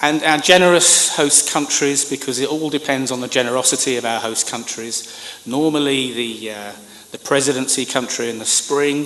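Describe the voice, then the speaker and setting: A man with a British accent, fairly high in pitch, at a moderate pace and with fairly even intonation, amid audible room echo and noticeable background noise. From Britain. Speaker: government communications professional. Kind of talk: conference speech. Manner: formal.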